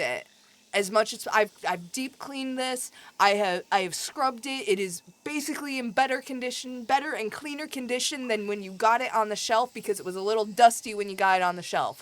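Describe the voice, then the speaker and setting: A woman with a Midwestern accent speaks at a fairly quick pace and a fairly high pitch. Her intonation is lively and her tone animated. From US Midwest. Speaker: video game streamer. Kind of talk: casual chat. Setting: live stream.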